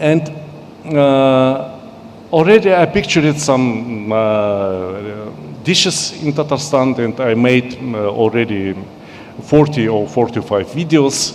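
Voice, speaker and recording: At a medium pitch and a very slow pace, a man speaks with lively intonation over noticeable background noise. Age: 60s. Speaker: cookbook author. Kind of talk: speech to an audience. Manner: halting.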